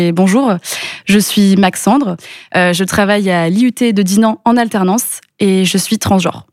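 Medium in pitch, this woman has an ordinary speaking voice with ordinary pitch variation. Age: 20s. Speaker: entrepreneur. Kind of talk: interview.

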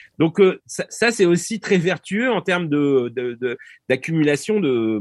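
In a dry, close sound with no echo and a quiet background, a man with a fairly high pitch speaks at a fairly slow pace with lively intonation. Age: 50s. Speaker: political science professor. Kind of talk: interview. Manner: halting.

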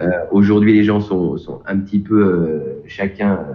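A man talks at a fairly slow pace with a fairly low pitch. His intonation is fairly even. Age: 40s. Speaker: piano coach. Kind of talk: interview. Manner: halting, many repetitions and fillers.

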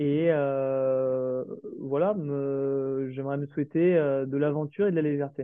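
A man with a fairly high pitch speaks at a very slow pace with fairly even intonation. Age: 30s. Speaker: restaurant founder and chef. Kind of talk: interview. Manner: hesitant.

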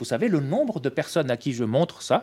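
A man talks with very wide pitch swings. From Tunisia. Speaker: press cartoonist. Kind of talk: classroom talk. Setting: school.

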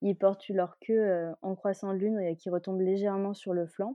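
At a moderate pace, a woman speaks in a normal speaking voice at medium pitch. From Malaysia (French expat childhood, Kuala Lumpur). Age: 20s. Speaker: dog owner. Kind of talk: interview.

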